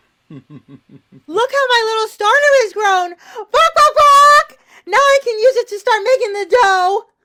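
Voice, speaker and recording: A woman puts on a squeaky character voice at an extremely high pitch. She delivers it at a fairly slow pace. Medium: stage play. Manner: punctuates speech with clucking.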